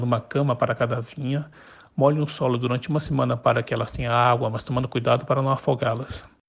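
Someone talks at a very fast pace in a flat, monotone way, sounding somewhat breathy. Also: man. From Brazil, Chinese parents. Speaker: wine enthusiast. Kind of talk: prepared voice message narration. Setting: WhatsApp voice messages.

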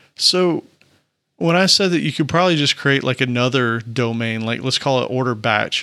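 A man with a Southern US accent speaks at a fairly quick pace. His pitch is medium, with ordinary variation. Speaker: software developer podcast co-host. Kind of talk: casual technical discussion.

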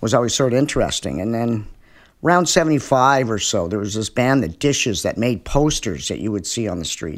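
Here is a man with an ordinary speaking voice and a Canadian accent, talking at a fairly quick pace with lively intonation and medium pitch. The recording is very clean, with a silent background. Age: 60s. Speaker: musician. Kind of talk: casual chat. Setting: at his home.

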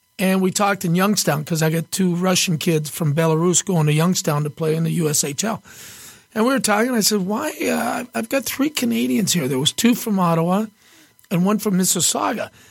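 Over noticeable background noise, a man with a high pitch talks at a fairly quick pace and very even loudness. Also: lively intonation. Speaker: former hockey player, co-host. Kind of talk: casual chat.

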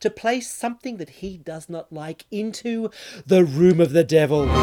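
This man's voice is high-pitched and delivered in an animated, theatrical tone. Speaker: radio host. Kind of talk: radio DJ patter: theatrical, wordy, camp banter leading into songs. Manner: animated, theatrical, wry and flamboyant.

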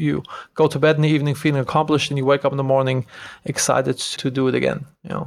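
Speaking very fast with a German accent, a man uses a fairly high pitch and a monotone, flat intonation. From Germany. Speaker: entrepreneur. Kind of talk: interview.

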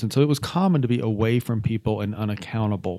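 A man's medium-pitched voice with a dark, mellow tone and ordinary pitch variation, on a very clean recording with a silent background. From Atlanta, Georgia. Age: 50s. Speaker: former government chief of staff in addiction recovery. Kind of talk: recovery testimony interview.

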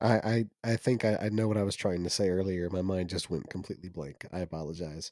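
With a very deep, low pitch and a dark, mellow tone, a man speaks at a very fast pace with hardly any pauses. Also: ordinary pitch variation. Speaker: podcast co-host. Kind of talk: casual chat.

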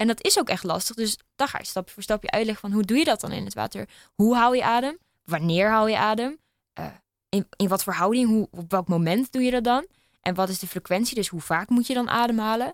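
A woman with a plain, everyday voice speaks fairly quickly at a fairly high pitch with ordinary pitch variation, in a dry, close sound with no echo. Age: 20s. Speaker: open water swimmer and runner. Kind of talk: casual chat. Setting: studio.

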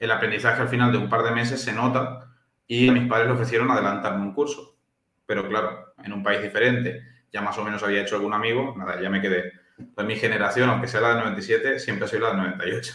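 A man at a fairly quick pace, with medium pitch, fairly even intonation, and audible room echo. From Spain, Valencia (born in Chile, moved at five). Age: 20s. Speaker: nutritionist. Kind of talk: casual chat.

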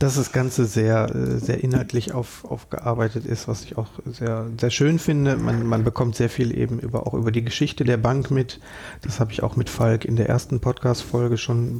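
A man's unremarkable speaking voice sits at medium pitch, moving at a moderate pace with fairly even intonation. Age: 40s. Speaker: podcast host, bank employee. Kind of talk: podcast interview.

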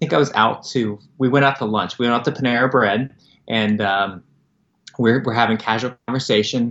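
An American-accented man with an ordinary speaking voice talks at a moderate pace and medium pitch, his intonation fairly even. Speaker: nonprofit founder. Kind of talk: interview, casual conversation.

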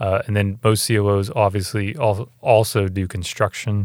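A man with a plain, everyday voice speaks at a moderate pace in a fairly low pitch, with fairly even intonation. The recording is very clean, with a silent background. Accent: American. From North Carolina and Virginia. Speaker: hospital CEO. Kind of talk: interview.

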